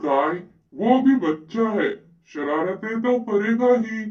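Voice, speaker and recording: Fairly high in pitch, a cartoonish character voice comes through. It unfolds at a fairly slow pace. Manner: authoritative, fatherly.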